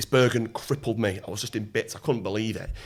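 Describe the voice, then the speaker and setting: A man with a bright, sharp tone talks at a fairly quick pace on a very clean recording with a silent background. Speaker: former Royal Marine, entrepreneur and mentor. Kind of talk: podcast interview answer. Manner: casual, conversational.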